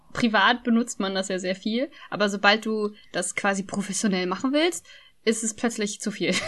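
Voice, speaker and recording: A woman's fairly high voice at a moderate pace, with ordinary pitch variation and an ordinary speaking voice. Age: 20s. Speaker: podcaster. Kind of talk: casual chat.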